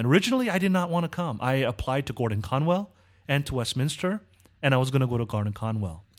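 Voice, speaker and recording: A man speaks very fast with a Californian accent. His medium-pitched voice has lively intonation. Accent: American (California). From Southern California (Korean American). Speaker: seminary professor. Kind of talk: interview.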